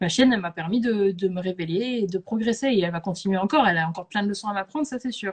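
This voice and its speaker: Speaking at a very fast pace, a woman uses a medium pitch with ordinary pitch variation. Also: hardly any pauses. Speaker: animal welfare content creator and live host. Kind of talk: casual chat on a live stream. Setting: Instagram live video stream. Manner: hesitant, many fillers; spontaneous, conversational.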